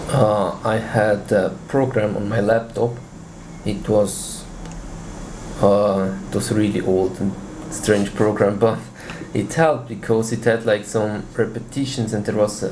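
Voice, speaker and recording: A man talks at a fairly slow pace with fairly even intonation and long, frequent pauses. Room echo is audible, and there is noticeable background noise. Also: fairly low pitch for a man. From Switzerland. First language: Swiss German. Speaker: language learner. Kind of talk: interview.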